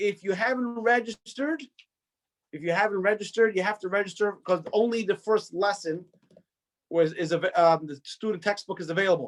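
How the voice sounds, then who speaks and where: With an American accent, a man speaks fairly quickly at a high pitch with ordinary pitch variation. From New York. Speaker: rabbi teaching an adult education course. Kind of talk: online lecture. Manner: halting, repetitive.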